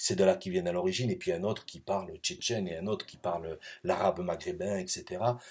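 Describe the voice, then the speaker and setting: Loudness swings hugely as a male speaker races along at a very fast pace. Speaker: professor. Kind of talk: recorded lecture. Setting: pre-recorded video. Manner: hesitant, many fillers.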